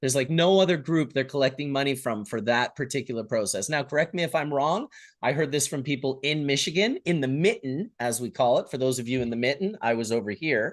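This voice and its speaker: A man with a Canadian accent speaks at a very fast pace, with hardly any pauses and ordinary pitch variation. His pitch is fairly high, and the background is quiet. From Canada. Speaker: livestream host. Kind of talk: casual chat.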